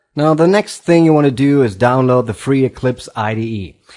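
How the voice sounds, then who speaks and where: This is a man speaking at a medium pitch. He has a non-native accent and ordinary pitch variation. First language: not English. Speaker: tutorial host. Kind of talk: tutorial.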